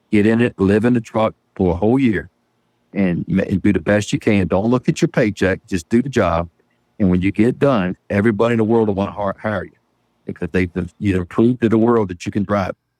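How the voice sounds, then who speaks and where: In a dry, close sound with no echo and a quiet background, a man talks in an ordinary speaking voice at a fairly quick pace, with fairly low pitch and ordinary pitch variation. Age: 50s. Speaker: truck driver and auctioneer. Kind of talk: interview.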